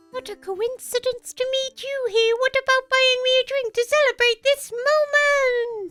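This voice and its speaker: A woman's squeaky put-on character voice at an extremely high pitch, with faint music in the background. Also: moderate pace, fairly even intonation. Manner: flirty.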